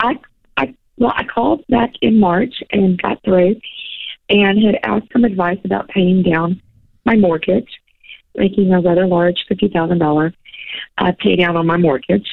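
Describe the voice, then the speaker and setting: A woman speaks at a fairly slow pace, leaving long, frequent pauses. Her pitch is medium, with ordinary pitch variation. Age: 50s. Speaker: caller. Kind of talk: call-in question.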